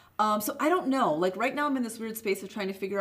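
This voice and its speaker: A woman with an American accent talks in a lively, varied intonation over noticeable background noise. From Chicago suburbs, US Midwest. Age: 40s. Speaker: small business owner. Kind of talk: casual interview.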